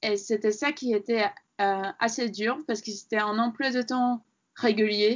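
A woman with a fairly high voice talks fairly slowly, her intonation fairly even. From Latvia. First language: Latvian (speaking French). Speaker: sculptor. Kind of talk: interview. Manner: halting.

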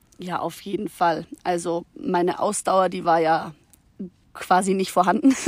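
With an unremarkable speaking voice, a woman talks at a medium pitch. Her pace is fairly slow and her pitch variation ordinary. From Munich area, Bavaria. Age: young. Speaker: hiking guest, works with children. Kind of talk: casual interview. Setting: outdoors on a mountain meadow.

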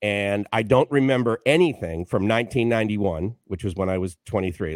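An unremarkable speaking voice: a man with an American accent, fairly low in pitch, at a moderate pace with ordinary pitch variation and a dry, close sound with no echo. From US, Boston, Massachusetts. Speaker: radio station owner and author. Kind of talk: interview.

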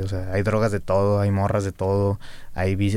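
A man's plain, everyday voice, fairly low in pitch and at a fairly quick pace, on a very clean recording with a silent background. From Monterrey, northern Mexico. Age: 20s. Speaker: rapper. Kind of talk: casual chat.

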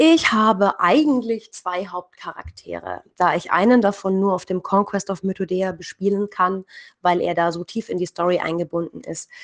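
This woman has an ordinary speaking voice, medium in pitch with ordinary pitch variation, at a moderate pace. The sound is dry and close with no echo, over a quiet background. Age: 30s. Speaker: writer and hobby role-player. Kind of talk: interview.

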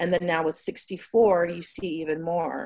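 This woman has an ordinary speaking voice with a fairly low pitch. Her intonation stays fairly even. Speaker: cannabis company executive. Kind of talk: interview. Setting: video call.

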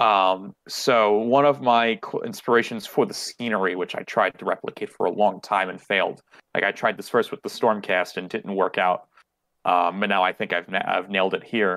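In a very clean recording with a silent background and a dry, close sound with no echo, a man with a normal speaking voice talks at a moderate pace, fairly low in pitch, with fairly even intonation. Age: 20s. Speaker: miniature painter and hobbyist. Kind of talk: casual chat.

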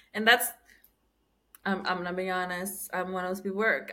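Talking at a fairly quick pace, a woman has a bright, sharp tone and a medium pitch. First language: Spanish. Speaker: podcast host. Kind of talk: casual chat.

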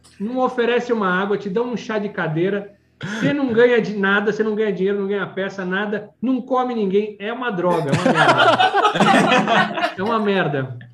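Noticeable background noise sits behind a man with a high voice who speaks with hardly any pauses. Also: ordinary pitch variation, moderate pace. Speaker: toy collector. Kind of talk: casual chat.

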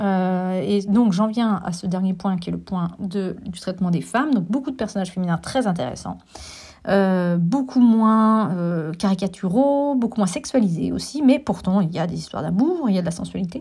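A woman at medium pitch and moderate pace, with a somewhat breathy, dark, mellow tone and lively intonation, on a very clean recording with a silent background. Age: 40s. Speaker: film critic and teacher. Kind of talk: solo film review podcast. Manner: hesitant, many filler sounds.

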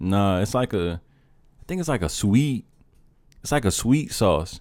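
Recorded very cleanly against a silent background, a man with a fairly low pitch speaks at a moderate pace using lively intonation. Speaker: podcast host. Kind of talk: casual banter. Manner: joking, animated.

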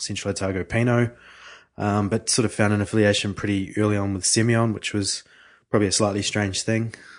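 At a fairly quick pace over a quiet background, a man with a New Zealand accent speaks at a fairly low pitch in monotone, flat intonation. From New Zealand, Hawke's Bay. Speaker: winemaker. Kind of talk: interview. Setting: studio.

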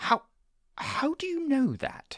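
A woman puts on a character voice, high-pitched and slow, with very wide pitch swings, in a very clean recording with a silent background.

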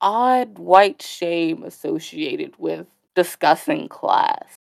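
A woman with an American accent speaks at a very slow pace, her pitch sitting in the medium range. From US, near Washington DC. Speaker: college student. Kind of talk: casual chat. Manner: hesitant, many fillers.

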